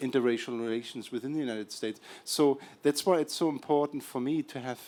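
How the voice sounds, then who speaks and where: A man speaks at a medium pitch and a fairly quick pace with a German accent, his intonation fairly even, on a very clean recording with a silent background. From Germany, Berlin. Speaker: documentary filmmaker. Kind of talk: event introduction to audience. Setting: screening event with audience.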